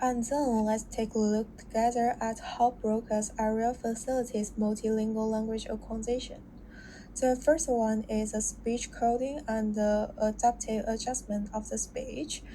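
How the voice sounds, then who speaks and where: A woman's fairly high voice in a Chinese accent, dark and mellow in tone, with monotone, flat intonation at a moderate pace. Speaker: student. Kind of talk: class presentation. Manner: halting, with self-corrections.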